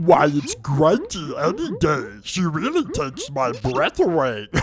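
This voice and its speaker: The speaker uses a put-on character voice. The delivery runs at a fairly slow pace. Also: man, fairly high pitch for a man. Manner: dopey, goofy.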